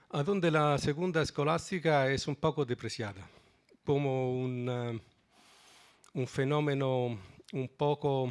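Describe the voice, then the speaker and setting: A man's very slow speech with a non-native accent, medium pitch and ordinary pitch variation. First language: Italian (speaking Spanish). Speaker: philosophy of law professor. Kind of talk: conference talk.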